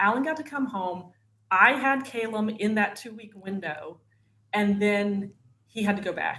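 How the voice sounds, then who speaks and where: In a northern Florida accent, a woman speaks fairly slowly at a medium pitch, her tone bright and sharp and her intonation lively. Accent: Southern US (northern Florida). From northern Florida, US South. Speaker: wife of an actor, mother. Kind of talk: casual interview chat.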